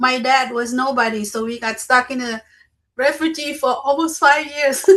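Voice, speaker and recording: In a Lao accent, a woman with a high pitch uses a raised, projected voice with a bright, sharp tone, fairly even intonation and a moderate pace. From Laos, came to US at eighteen. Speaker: community circle participant. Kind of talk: casual group chat.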